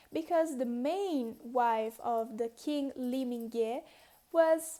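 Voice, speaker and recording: A woman with a high pitch and a dark, mellow tone speaks with ordinary pitch variation. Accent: non-native. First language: not English. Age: 20s. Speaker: dancer. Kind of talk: casual history storytelling to camera.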